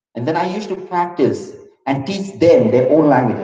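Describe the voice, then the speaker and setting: In a Keralan accent, a man speaks at a fairly quick pace with lively intonation, his somewhat breathy voice dark and mellow in tone. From India, Maharashtra (raised in Loni hostel). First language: Malayalam. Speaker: motivational speaker. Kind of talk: interactive talk to school audience.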